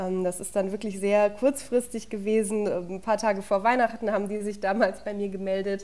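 At a moderate pace, a woman talks at a medium pitch with monotone, flat intonation. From Lower Franconia, Bavaria (Würzburg area). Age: 20s. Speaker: sports journalist. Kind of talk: casual interview chat.

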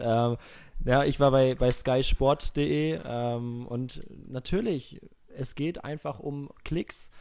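Here a man talks. The recording is very clean and its background silent. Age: 20s. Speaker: podcast host. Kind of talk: casual chat.

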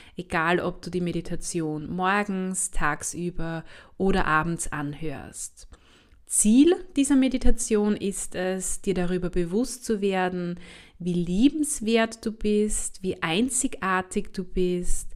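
At a very slow pace, a woman speaks with medium pitch in a calm, soothing tone. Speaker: health scientist, university lecturer, podcast host. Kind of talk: guided meditation. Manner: slow, calm, soothing; soft-spoken, gentle.

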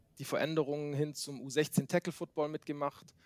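This man's voice has a dry, close sound with no echo. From Baden-Württemberg, Germany (Swabia). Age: 30s. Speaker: youth American football coach. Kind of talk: interview. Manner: hesitant, many fillers.

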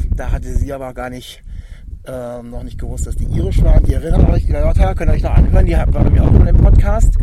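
A man speaks at a very fast pace. Audible room echo and noticeable background noise surround his voice. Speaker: music podcast host. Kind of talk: casual chat. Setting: outdoors.

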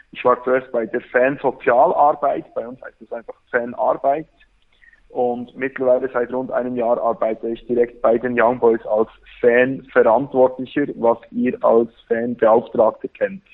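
A man talks fairly slowly in a Bernese accent. His loudness swings a lot. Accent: Swiss German (Bernese). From Switzerland, Bern. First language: Swiss German (Bernese dialect) (speaking German). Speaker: football fan, fan social worker. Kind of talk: casual chat.

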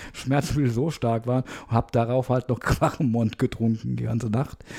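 This man has a dark, mellow tone that is somewhat breathy, at a medium pitch with ordinary variation. He keeps a moderate pace. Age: 50s. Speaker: podcast host. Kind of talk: casual chat. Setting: video call.

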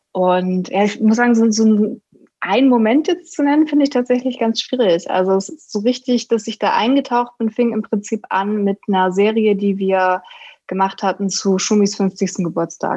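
A woman's fairly high voice with a dark, mellow tone, ordinary pitch variation and a moderate pace over a quiet background. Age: 20s. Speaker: sports journalist. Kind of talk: casual chat.

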